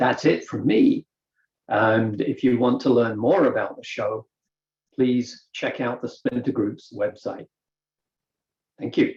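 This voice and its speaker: With a British accent, a man speaks at a very slow pace, broken by long, frequent pauses. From Britain. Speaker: woodworker. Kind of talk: presentation.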